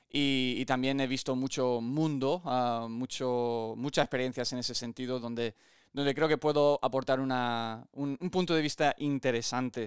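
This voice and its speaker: The speech moves at a fairly slow pace with hardly any pauses and fairly even intonation. The recording is very clean, with a silent background and a dry, close sound with no echo. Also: man, medium pitch for a man. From born in the US to an American father and Spanish mother, lived in both. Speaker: podcast host and gym owner. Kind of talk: podcast introduction monologue. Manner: halting, many fillers and repeated words.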